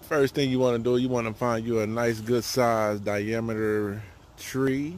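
Light background noise sits under a dry, echo-free recording of a man speaking at a fairly slow pace in a monotone, flat intonation. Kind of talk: casual tutorial. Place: forest. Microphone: phone near.

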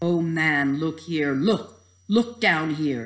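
A man puts on a character voice with a fairly high pitch. He speaks at a very slow pace. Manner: exclaiming.

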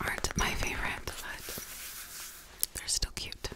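Speaking at a very slow pace, a woman talks over noticeable background noise. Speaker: ASMR creator. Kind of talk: ASMR whisper talk to camera. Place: home room. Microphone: studio mic.

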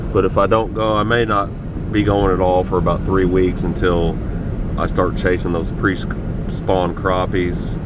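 The speech moves at a fairly slow pace over loud background noise. The sound is dry, with no echo. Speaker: angler vlogger. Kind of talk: casual vlog chat. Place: car. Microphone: phone near.

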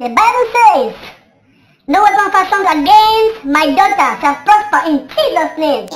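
An extremely high pitch at a moderate pace. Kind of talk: preacher's prayer declarations. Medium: comedy sketch.

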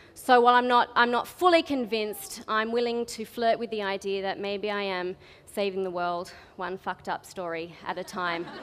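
A woman's voice with an Australian accent at a moderate pace, with ordinary pitch variation, big swings in loudness and light background noise. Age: 20s. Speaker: spoken word artist. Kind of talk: storytelling talk to a live audience. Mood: humorous, candid. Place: stage. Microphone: headset.

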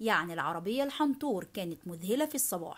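A woman with an Egyptian accent and very wide pitch swings at a moderate pace, on a very clean recording with a silent background. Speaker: English teacher. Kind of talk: language lesson tutorial.

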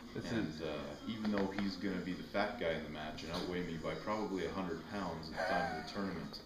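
A man talks very fast with noticeable background noise behind him. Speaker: arm wrestler. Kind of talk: promo interview trash talk. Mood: relaxed, confident trash talk. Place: garage. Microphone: camera far.

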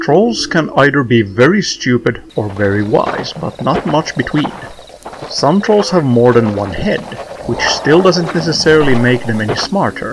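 Against noticeable background noise, a man with a fairly high pitch swings very widely in pitch while keeping a moderate pace. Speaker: narrator. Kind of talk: folklore documentary narration.

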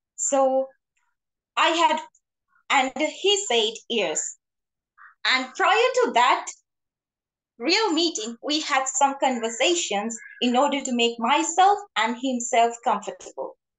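Against a quiet background, a woman with a high pitch speaks at a very slow pace, with lively intonation and long, frequent pauses. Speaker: club member. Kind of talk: prepared speech. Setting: video call. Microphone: video call.

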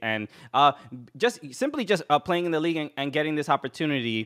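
A man speaks with a New York accent. The background is quiet. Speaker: comedian and podcast host. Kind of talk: casual interview. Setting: video call. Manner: halting. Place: home room. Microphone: studio mic.

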